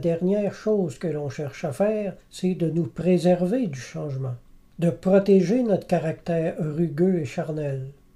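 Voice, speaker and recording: Here a man speaks at a high pitch with a dark, mellow tone. His pace is fairly slow. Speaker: Bible teacher. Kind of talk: sermon.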